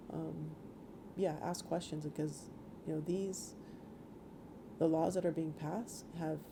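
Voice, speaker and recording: This woman has a very deep, low pitch and a dark, mellow tone with vocal fry. She talks in a Guam accent with monotone, flat intonation. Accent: Chamorro Guam English. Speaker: senator. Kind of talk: interview. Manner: halting.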